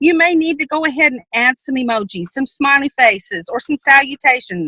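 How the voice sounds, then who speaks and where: A woman projects a raised voice at high pitch with a bright, sharp tone. She keeps a moderate pace, and the sound is dry and close with no echo. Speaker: sales team trainer. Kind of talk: training presentation.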